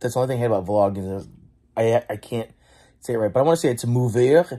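Mumbling at a very fast pace, a dark, mellow tone with ordinary pitch variation over a quiet background. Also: man. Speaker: vlogger. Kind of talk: casual vlog chat. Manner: drowsy, mumbling voice in bed. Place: home room.

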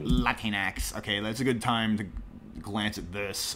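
A man with a normal speaking voice talks at a moderate pace, using ordinary pitch variation. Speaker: streamer clipping and mocking a podcast. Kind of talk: angry reaction commentary stream. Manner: sarcastic, ranting.

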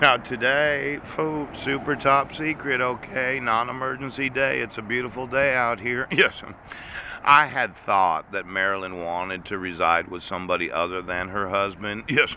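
With an American accent, a man speaks at a moderate pace in a dry sound with no echo and light background noise. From United States. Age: 40s. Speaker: vlogger. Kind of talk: monologue rant. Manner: laughing often; rambling with interjections. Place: street. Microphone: phone near.

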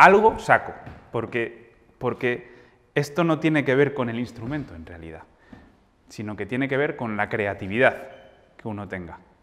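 The speaking pace is fairly slow. Pitch variation is ordinary. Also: man. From Spain, Madrid. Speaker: jazz pianist and music teacher; music teacher. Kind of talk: masterclass lecture. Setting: hall with live audience. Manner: halting, many fillers. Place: hall. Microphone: lapel.

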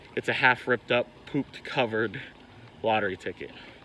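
A man at a moderate pace, dry sound with no echo, and light background noise. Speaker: card game vlogger. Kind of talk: casual vlog chat. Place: street. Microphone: phone near.

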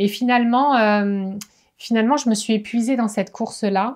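Against a quiet background, a woman with a fairly high pitch speaks at a moderate pace with fairly even intonation. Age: 40s. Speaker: wellness coach. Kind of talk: vlog monologue. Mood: reflective, personal. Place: home room.

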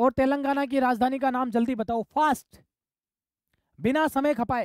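A woman's high-pitched voice moves at a fairly slow pace. The sound is dry and close, with no echo. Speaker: online exam-prep teacher. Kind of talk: live online class. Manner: animated.

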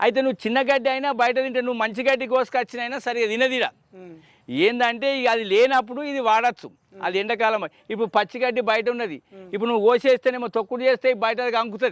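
In a rural Telangana accent, a man talks at an extremely high pitch with fairly even intonation, in a dry, close sound with no echo. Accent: rural Telangana Telugu dialect. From Telangana, Kamareddy district. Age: 60s. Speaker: dairy farmer. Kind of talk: interview.

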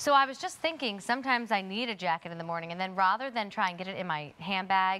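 At a very fast pace, a voice with an upbeat tone and lively intonation comes through over light background noise. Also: woman. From Baltimore. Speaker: shopping channel host. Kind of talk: sales presentation. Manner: upbeat, chatty sales patter. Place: studio. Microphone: lapel.

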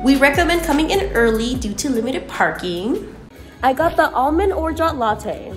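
Clear music plays in the background. A woman speaks in a high voice. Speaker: coffee vlog co-host. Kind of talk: casual vlog chat. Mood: cheerful, enthusiastic. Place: cafe. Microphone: phone near.

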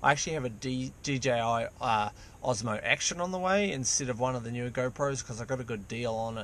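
A man's fairly quick voice with ordinary pitch variation, in a dry recording with no echo. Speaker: vlogger. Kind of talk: casual vlog chat. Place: car. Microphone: phone near.

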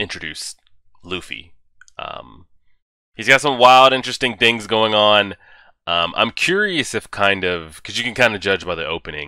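Against a quiet background, a man with a fairly low pitch and a bright, sharp tone speaks at a moderate pace with long, frequent pauses, in a dry sound with no echo. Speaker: anime reviewer. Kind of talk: casual vlog chat. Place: home room. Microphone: headset.

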